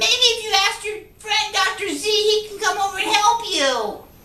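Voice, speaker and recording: Using a put-on character voice, a woman speaks at an extremely high pitch and a moderate pace, with ordinary pitch variation and a slight echo. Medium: comedy sketch. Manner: bossy, mocking.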